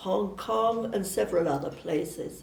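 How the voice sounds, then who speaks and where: Woman at a moderate pace amid noticeable background noise and audible room echo. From southern England (Surrey). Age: 80s+. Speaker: missionary nun. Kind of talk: personal testimony. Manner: hesitant, with fillers.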